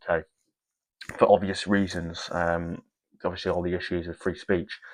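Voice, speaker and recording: Recorded with a dry, close sound, no echo and a quiet background, a man with an English accent talks at a very fast pace. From northern England, near Scottish border. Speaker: commentary channel host. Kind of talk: video reaction commentary. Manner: halting, frequent fillers.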